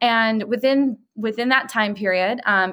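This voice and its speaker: Here a woman speaks with an American accent and a bright, sharp tone. Her pitch varies in an ordinary way. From Chicago, US Midwest. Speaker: PR firm owner. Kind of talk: podcast interview.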